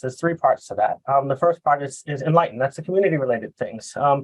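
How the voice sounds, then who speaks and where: In a Boston accent, a man talks at a very fast pace with a fairly high pitch. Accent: Boston American. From US Northeast, Boston. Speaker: software consultant. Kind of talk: presentation. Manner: halting, many fillers.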